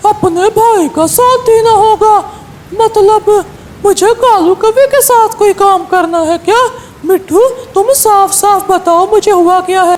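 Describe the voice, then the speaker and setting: A cartoonish character voice speaks at an extremely high pitch and a fairly slow pace. Light background noise can be heard. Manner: bold, earnest.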